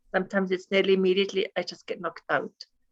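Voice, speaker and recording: A woman with a non-native accent is heard in a dry, close recording with no echo. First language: not English. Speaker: course participant. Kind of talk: group class discussion. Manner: halting.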